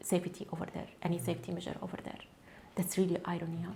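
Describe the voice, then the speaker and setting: A woman speaks with an Arabic accent. Her pitch is fairly low. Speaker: cancer researcher, activist. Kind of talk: testimony. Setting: studio. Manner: halting, with self-corrections.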